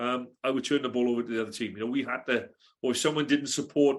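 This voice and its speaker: A man speaks in a South Wales accent at medium pitch with monotone, flat intonation. The background is quiet. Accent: Welsh (south Wales). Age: 60s. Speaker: retired rugby coach. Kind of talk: casual podcast interview. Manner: hesitant, many fillers.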